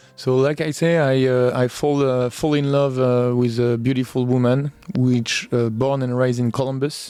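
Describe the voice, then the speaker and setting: A man with a French accent speaks at a moderate pace and medium pitch, his intonation monotone and flat. His loudness stays very even, with music playing in the background. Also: hardly any pauses. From rural France. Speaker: sommelier. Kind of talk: podcast interview. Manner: hesitant, many fillers.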